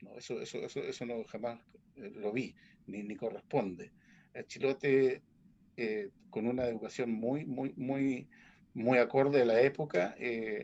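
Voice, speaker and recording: Against a quiet background, a man speaks at a fairly slow pace with big swings in loudness. His pitch is medium, with ordinary pitch variation. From Chiloé, southern Chile. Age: 60s. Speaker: folk music practitioner. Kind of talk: panel talk at a book launch. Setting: video call. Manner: halting, many fillers.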